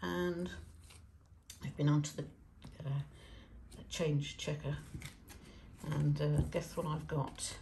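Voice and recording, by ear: Speaking slowly with long, frequent pauses, a woman has a low pitch, a dark, mellow tone, vocal fry and fairly even intonation, with audible room echo around her.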